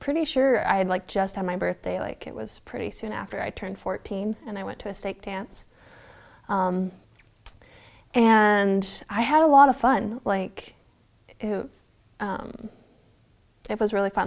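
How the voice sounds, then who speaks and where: A soft-spoken woman talks at a medium pitch. She leaves long, frequent pauses. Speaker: interviewee. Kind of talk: personal storytelling interview. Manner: casual, filler-heavy.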